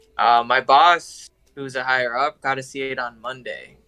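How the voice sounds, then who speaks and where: Over music in the background, a man with an American accent speaks at a moderate pace and medium pitch, his intonation fairly even. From California (Huntington Park, Los Angeles area). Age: 20s. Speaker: film industry assistant. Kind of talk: casual chat. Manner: halting, many fillers.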